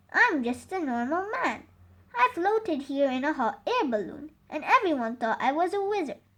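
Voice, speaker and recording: A woman does a put-on character voice, high-pitched with very wide pitch swings. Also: moderate pace. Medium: read story.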